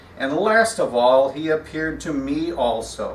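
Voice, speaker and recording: Man with very wide pitch swings, audible room echo and light background noise. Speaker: pastor. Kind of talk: scripture reading in a sermon. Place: church. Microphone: podium.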